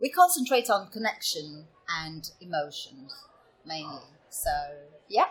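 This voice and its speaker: A woman's somewhat breathy, fairly high voice at a fairly slow pace, with very wide pitch swings and long, frequent pauses. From Italy, Venice region. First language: Italian. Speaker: improv performer. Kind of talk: podcast interview. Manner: hesitant, many fillers.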